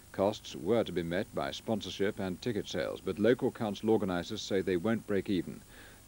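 Dry with no echo, a man's dark, mellow voice comes through. He goes at a fairly quick pace with ordinary pitch variation. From England. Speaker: television newsreader. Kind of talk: 1980s TV news bulletin, scripted news reading. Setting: studio. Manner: formal, measured, crisp and steady; brisk, neutral, authoritative delivery. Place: studio.

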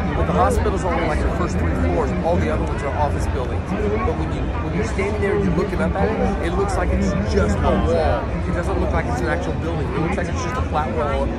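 The speech runs at a very fast pace with hardly any pauses and ordinary pitch variation, while clear music plays in the background. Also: man. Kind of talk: casual chat to companions. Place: boat. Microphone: phone near.

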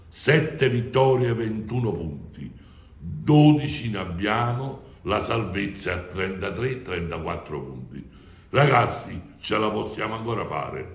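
Speaking very slowly with vocal fry, a man with a fairly low voice makes very wide pitch swings in a room with audible echo. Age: 70s. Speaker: football fan club president. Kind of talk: interview. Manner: animated. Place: office. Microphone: phone near.

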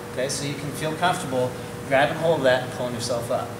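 A man talks fairly fast, his pitch varying in the ordinary way, with noticeable noise in the background. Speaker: horse trainer. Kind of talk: tutorial. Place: hall. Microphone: camera far.

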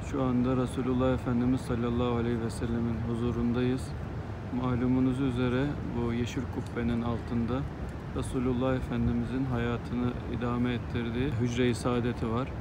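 A man keeps a moderate pace while loud background noise surrounds him. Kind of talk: devout travel narration and prayer. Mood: reverent, solemn. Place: street. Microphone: phone near.

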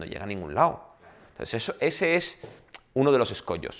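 His pitch swings very widely. The man talks fairly quickly. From Spain (Balearic Islands), half French; Spain. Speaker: film director. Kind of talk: panel talk. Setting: room with live audience, recorded. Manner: animated. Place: meeting room.

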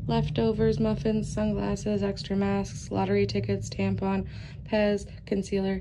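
A woman at a moderate pace, over light background noise. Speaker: vlogger. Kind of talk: casual vlog chat. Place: home room. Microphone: phone near.

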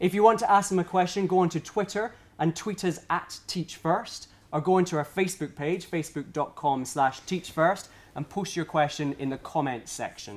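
A man with a high pitch talks at a moderate pace, using ordinary pitch variation. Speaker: event host. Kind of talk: hosting presentation, partly read from cards. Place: office.

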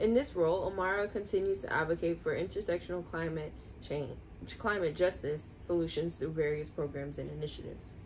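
A woman's fairly low voice with vocal fry, a fairly quick pace, ordinary pitch variation and light background noise. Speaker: video host reading aloud. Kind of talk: reading aloud. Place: home room. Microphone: phone near.

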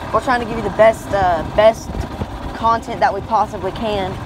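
A fairly quick pace, noticeable background noise, and a dry sound with no echo. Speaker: fishing channel vlogger. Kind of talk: casual vlog chat. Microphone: phone near.

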